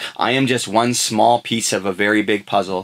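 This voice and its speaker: A man with a Canadian accent has an ordinary speaking voice, fairly low in pitch, at a moderate pace with fairly even intonation. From western Canada. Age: 30s. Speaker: podcast host. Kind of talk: casual chat. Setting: studio.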